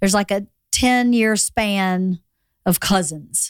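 An ordinary speaking voice, a woman's at medium pitch with an American accent, goes at a fairly slow pace with fairly even intonation in a dry, close sound with no echo, in a very clean recording with a silent background. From Georgia, US South. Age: 50s. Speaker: podcast host. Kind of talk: casual chat. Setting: studio.

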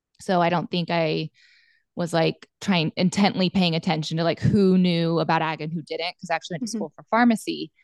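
Over a quiet background, a woman with an unremarkable speaking voice and a fairly low pitch talks at a fairly quick pace, with fairly even intonation, big swings in loudness and a dry, close sound with no echo. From Montana. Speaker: pharmacist and cattle rancher. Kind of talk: casual interview chat.

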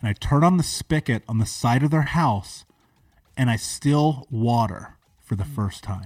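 A somewhat breathy man with an American accent, medium pitch, lively intonation, an animated tone and a fairly slow pace. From US, major city. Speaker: entrepreneur and motivational speaker. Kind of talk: interview, personal life story.

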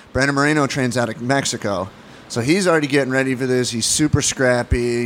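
A man's voice at medium pitch, very fast pace and fairly even intonation, over noticeable background noise. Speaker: comedian. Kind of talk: casual chat. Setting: studio.

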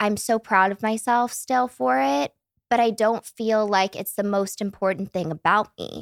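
With an unremarkable speaking voice, a woman talks at a fairly high pitch and a fairly slow pace in a dry, close sound with no echo. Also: very clean recording, silent background. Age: 20s. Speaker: podcast guest, former podcast regular. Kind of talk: casual chat. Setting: studio in Malibu, in person.

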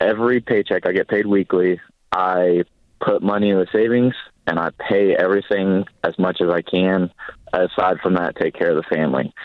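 The man's pitch is fairly low. He talks at a moderate pace with fairly even intonation. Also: very even loudness. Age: 20s. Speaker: caller, army veteran. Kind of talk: call-in advice show. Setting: phone call. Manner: halting.

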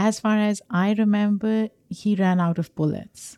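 A woman with a plain, everyday voice talks fairly slowly, her medium pitch held in fairly even intonation. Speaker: podcast co-host. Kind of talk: casual discussion.

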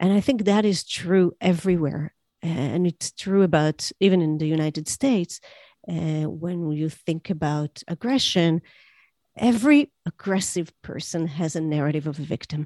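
In a very clean recording with a silent background and a dry, close sound with no echo, a woman speaks at a moderate pace in a fairly low voice with a dark, mellow tone. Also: ordinary pitch variation. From Israel. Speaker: psychotherapist and author. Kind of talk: interview.

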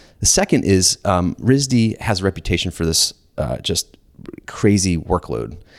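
A man speaks at a fairly slow pace in a very deep, low voice with vocal fry and lively intonation. The sound is dry and close with no echo, and the recording is very clean over a silent background. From US South, Georgia (Atlanta suburbs). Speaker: entrepreneur. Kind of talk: casual interview.

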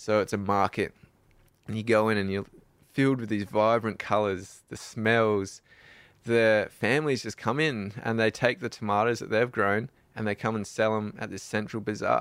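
In a very clean recording with a silent background, a man speaks with an Australian accent. His pitch is fairly low, his pace moderate and his intonation fairly even. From South Australia. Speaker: adventure cyclist. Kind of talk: interview.

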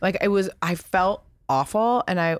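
A woman talks slowly, though not very slowly. She uses a normal speaking voice pitched in the middle of her range. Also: very clean recording, silent background. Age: 30s. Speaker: podcast host. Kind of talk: casual interview.

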